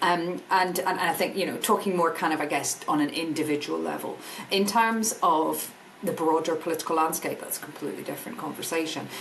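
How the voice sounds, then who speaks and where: A woman with a Scottish accent and a fairly low pitch speaks at a fairly quick pace with ordinary pitch variation, amid noticeable background noise and audible room echo. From Scotland. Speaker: energy industry business director. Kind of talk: podcast interview.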